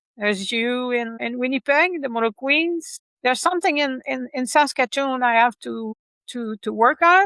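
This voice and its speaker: A woman's high-pitched voice with a Quebec accent, bright and sharp in tone, at a moderate pace with ordinary pitch variation. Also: dry, close sound with no echo. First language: French. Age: 60s. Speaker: motorcycle rider and author. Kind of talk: interview. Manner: halting.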